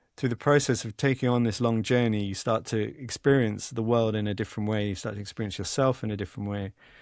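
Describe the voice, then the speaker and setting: This man talks at a very fast pace with hardly any pauses, in a medium pitch and an English accent, his intonation fairly even. The recording is very clean with a silent background. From England. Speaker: author and journalist. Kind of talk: podcast interview. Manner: halting, frequent repetitions and fillers.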